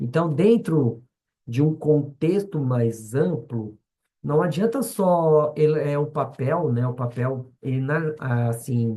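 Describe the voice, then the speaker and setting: Lively intonation marks this man's very slow delivery, his tone dark, mellow and somewhat breathy. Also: fairly high pitch for a man. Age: 40s. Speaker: schoolteacher. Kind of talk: lecture. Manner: halting, many fillers and restarts.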